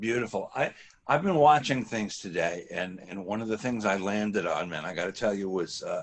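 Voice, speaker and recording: A man speaks at a moderate pace in a plain, everyday voice. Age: 60s. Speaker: interview host. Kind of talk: interview.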